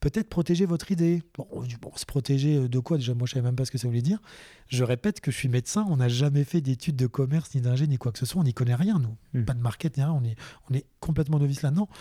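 Speaking at a very fast pace, a man has a somewhat breathy voice at medium pitch with a dark, mellow tone and ordinary pitch variation, on a very clean recording with a silent background and a dry, close sound with no echo. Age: 30s. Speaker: allergist doctor. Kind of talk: casual chat.

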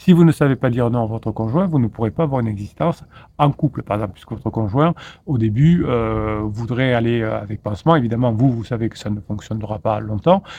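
This man's tone is dark and mellow, and his pace is fairly quick. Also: medium pitch for a man, ordinary pitch variation. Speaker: relationship coach. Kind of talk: video monologue. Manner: fast; halting, repeated words.

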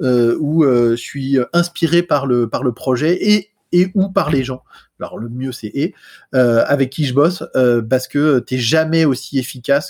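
A man speaks at a fairly slow pace in a fairly high pitch with ordinary pitch variation. The sound is dry and close, with no echo. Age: 40s. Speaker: software engineer. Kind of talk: casual chat. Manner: hesitant.

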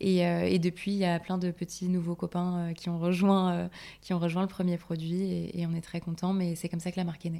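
Fairly quick and monotone with flat intonation, a woman speaks at a fairly low pitch in a dark, mellow tone on a very clean recording with a silent background. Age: 20s. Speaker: cosmetics brand founder. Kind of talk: casual interview.

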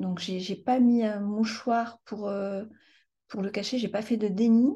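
At a very slow pace, a woman with a fairly high pitch speaks in a somewhat breathy voice with a dark, mellow tone and fairly even intonation. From France. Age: 50s. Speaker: trauma survivor. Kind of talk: testimony. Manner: halting.

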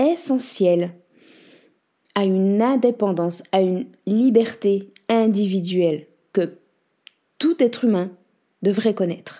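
A woman with a medium-pitched, dark, mellow tone speaks very slowly with lively intonation and long, frequent pauses. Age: 30s. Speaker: podcast host and coach. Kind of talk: scripted monologue.

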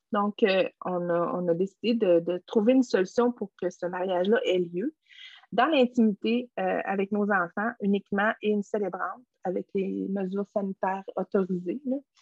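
A woman at medium pitch with a Quebec accent, fairly slow, with ordinary pitch variation. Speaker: essential oil entrepreneur. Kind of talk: interview conversation. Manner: halting.

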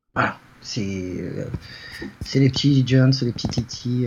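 A somewhat breathy man at a fairly slow pace, his intonation fairly even. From Paris region, France. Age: 40s. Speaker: fantasy football pundit. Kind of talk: casual chat. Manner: halting.

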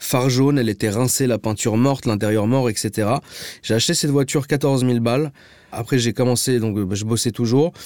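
A plain, everyday voice at a moderate pace, fairly even in intonation and very even in loudness, dry and close with no echo in a very clean recording with a silent background. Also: man, medium pitch for a man. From Paris, 16th arrondissement. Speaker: car enthusiast influencer. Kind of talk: casual chat.

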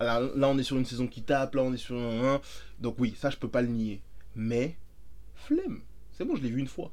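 Speaking at a moderate pace with long, frequent pauses, a man uses an animated tone at a medium pitch. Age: 30s. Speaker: podcast co-host. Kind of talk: casual chat.

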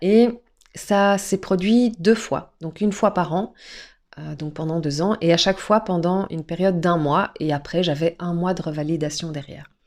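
Recorded very cleanly against a silent background, a woman talks at a moderate pace with a fairly low pitch and ordinary pitch variation. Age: 40s. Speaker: podcast guest sharing personal story. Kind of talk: personal testimony. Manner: dynamic.

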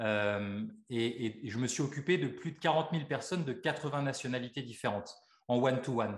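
At a moderate pace, a man with a medium pitch and ordinary pitch variation talks in a somewhat breathy voice. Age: 40s. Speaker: osteopath and life coach. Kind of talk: interview.

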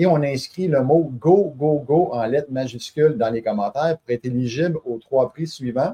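Somewhat breathy and fairly slow, a man talks with a dark, mellow tone in a dry, close sound with no echo. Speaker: podcast host. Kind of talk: live stream hosting.

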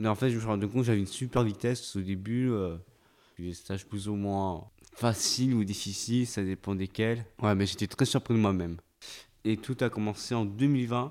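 A fairly low-pitched man at a moderate pace, fairly even in intonation, on a very clean recording with a silent background. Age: young. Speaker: young man with Williams syndrome. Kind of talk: intimate interview. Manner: halting.

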